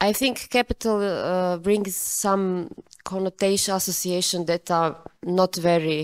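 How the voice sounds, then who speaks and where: Very even loudness and fairly even intonation at a fairly slow pace, in a very clean recording with a silent background and a dry, close sound with no echo. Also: woman, medium pitch for a woman. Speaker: audience member asking a question. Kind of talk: Q&A discussion. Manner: halting.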